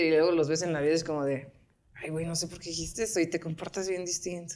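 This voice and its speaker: Speaking with a Mexican accent, a woman has a fairly low pitch. Her pace is fairly quick. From Mexico. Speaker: podcast host. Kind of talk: casual chat. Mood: relaxed, joking, chatty. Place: home room.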